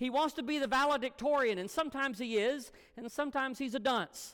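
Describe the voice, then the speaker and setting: In a Southern US accent, a man with an extremely high pitch and a bright, sharp tone speaks at a fairly quick pace with ordinary pitch variation. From US South, Alabama. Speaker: guest preacher. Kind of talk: sermon.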